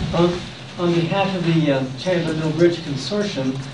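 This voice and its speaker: A man speaks at a moderate pace with a fairly high pitch. Audible room echo and noticeable background noise surround him. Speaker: public commenter at meeting. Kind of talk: public comment at meeting. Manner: halting.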